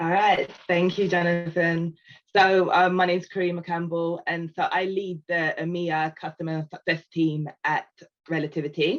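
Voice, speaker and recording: A woman speaks with a British accent in a monotone, flat intonation. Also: fairly low pitch for a woman, moderate pace. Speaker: customer success team lead. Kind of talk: panel discussion.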